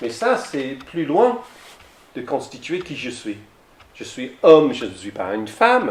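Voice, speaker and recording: In an English accent, a man with a fairly high pitch speaks at a very slow pace with long, frequent pauses and very wide pitch swings, and audible room echo surrounds him. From south-west England. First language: English (speaking French). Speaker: lay theology speaker. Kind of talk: lecture. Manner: halting.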